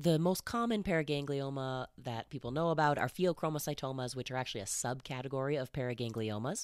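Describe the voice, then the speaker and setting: At a very fast pace and with hardly any pauses, the speech comes through in a very clean recording with a silent background. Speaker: medical educator. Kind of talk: medical lecture narration.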